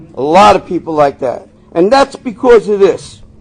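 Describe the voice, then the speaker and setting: At a moderate pace, a man talks with very wide pitch swings over noticeable background noise. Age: 60s. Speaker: recovery meeting speaker. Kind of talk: recovery testimony talk. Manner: conversational, repetitive fillers.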